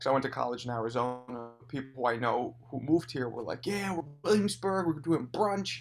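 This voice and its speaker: A man with a New York accent speaks at medium pitch and a moderate pace, with lively intonation, hardly any pauses, and music playing in the background. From New York City, Hell's Kitchen. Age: 40s. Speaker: comedian and club owner. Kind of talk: casual chat.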